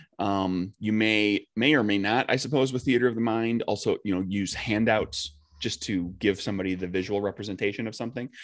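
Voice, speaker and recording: Over a quiet background, a man talks at a very fast pace with a fairly low pitch and ordinary pitch variation. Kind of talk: casual chat.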